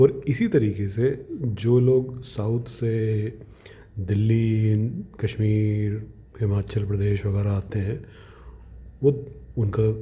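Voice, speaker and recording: A man's fairly low-pitched voice, dark and mellow in tone and somewhat breathy. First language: Punjabi (speaking Hindi). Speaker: vlogger. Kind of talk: casual monologue. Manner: animated.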